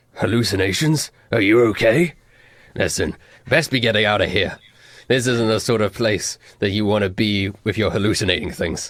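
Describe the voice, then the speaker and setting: Using a raspy put-on character voice, a man speaks at a moderate pace with a fairly low pitch. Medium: actual play. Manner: concerned, helpful.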